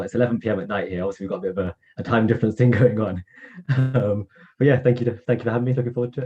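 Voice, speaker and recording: With music in the background, a man in an English accent talks at a very fast pace, medium in pitch with fairly even intonation. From England. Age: 20s. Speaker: veterinary student. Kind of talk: interview.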